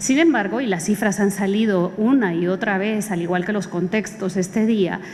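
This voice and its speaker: The voice moves at a moderate pace with ordinary pitch variation. Noticeable background noise and audible room echo are present. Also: woman, medium pitch for a woman. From Guatemala. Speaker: jurist and expert witness. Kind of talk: conference talk. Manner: formal, with frequent hesitations.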